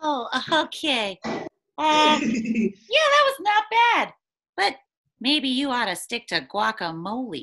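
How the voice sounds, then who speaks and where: A put-on character voice, female-sounding and high-pitched, at a fairly slow pace with long, frequent pauses. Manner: excited, playful.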